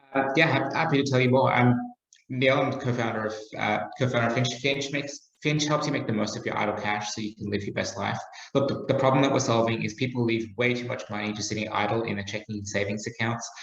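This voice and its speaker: A man with an Australian accent talks at a very fast pace and a medium pitch, with fairly even intonation. Noticeable background noise and audible room echo fill the recording. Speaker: startup founder. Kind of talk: podcast interview.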